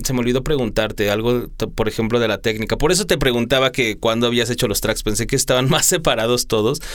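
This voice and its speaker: Ordinary pitch variation marks a man talking at a very fast pace. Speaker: radio host. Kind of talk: interview. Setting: studio.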